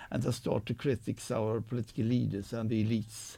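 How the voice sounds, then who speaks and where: A man at medium pitch with a Swedish accent, vocal fry and a fairly quick pace. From Sweden. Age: 60s. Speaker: professor. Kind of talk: live radio discussion. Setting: studio.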